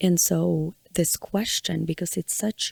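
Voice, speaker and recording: A woman in a Ukrainian accent speaks very slowly, with a dry, close sound and no echo. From Ukraine. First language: Ukrainian or Russian. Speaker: podcast host. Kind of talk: personal monologue.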